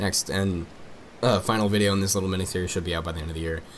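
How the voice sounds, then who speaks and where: Fairly low male tones delivered with fairly even intonation. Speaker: music reviewer. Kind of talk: album review video. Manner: fast; casual, halting with fillers.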